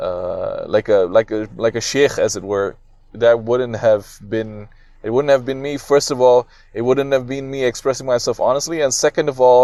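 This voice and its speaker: A man's dark, mellow voice at a moderate pace, with fairly even intonation, on a very clean recording with a silent background. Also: medium pitch for a man. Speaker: podcast host. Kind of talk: solo podcast monologue. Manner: loud; halting, many fillers and restarts.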